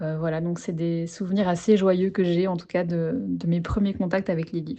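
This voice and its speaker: A dark, mellow tone carries fairly even intonation at a moderate pace. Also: woman, fairly low pitch for a woman. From Belgium. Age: 20s. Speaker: interviewee, book lover in career change. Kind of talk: casual interview conversation. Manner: hesitant, many fillers.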